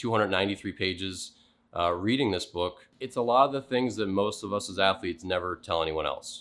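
Speaking at a fairly quick pace, a man with a fairly low pitch uses ordinary pitch variation. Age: 30s. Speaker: former baseball player and podcaster. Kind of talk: casual monologue with book reading excerpts. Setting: small soundproofed home studio.

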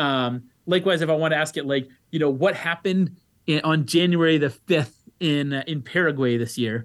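A man talks with ordinary pitch variation in a plain, everyday voice. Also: fairly high pitch for a man, moderate pace. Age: 30s. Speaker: economics professor. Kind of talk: interview.

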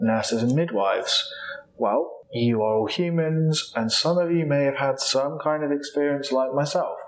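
A man speaks at a moderate pace with a fairly high pitch. Noticeable background noise is present. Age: 30s. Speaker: clinical psychologist, podcast host. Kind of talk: solo educational podcast talk.

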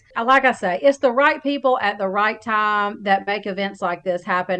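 A woman with an Alabama accent at a moderate pace. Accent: Southern US (Alabama). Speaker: podcast host. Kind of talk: casual interview.

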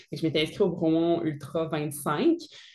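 This woman speaks with a very deep, low pitch. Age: 30s. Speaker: army officer and fitness entrepreneur. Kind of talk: casual interview.

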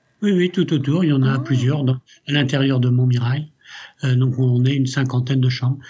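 A man speaks at a moderate pace and medium pitch, his somewhat breathy voice holding a very even loudness. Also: fairly even intonation. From France, raised from age 6 by Italian family. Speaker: company CEO. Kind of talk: interview.

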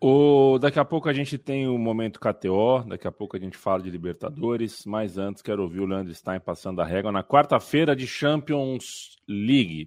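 Over a quiet background, a man with an unremarkable speaking voice talks at a moderate pace. His intonation is lively. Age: 30s. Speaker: football podcast host. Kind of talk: casual chat.

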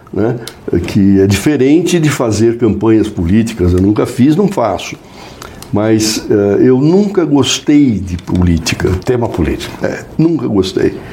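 Pitch swings very widely as a man talks at a fairly slow pace. Noticeable background noise is present. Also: medium pitch for a man. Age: 70s. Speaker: advertising executive. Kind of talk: casual interview.

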